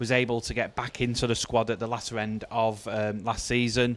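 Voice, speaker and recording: Speaking with a Mancunian accent, a man keeps a medium pitch. His intonation is monotone and flat. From Manchester, northern England. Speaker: darts commentator and county player. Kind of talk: live commentary. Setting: live darts event venue.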